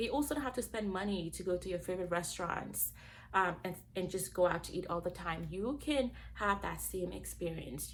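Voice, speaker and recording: At a moderate pace, a woman speaks with a Gambian accent. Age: 20s. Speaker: cooking channel host. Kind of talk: casual vlog introduction.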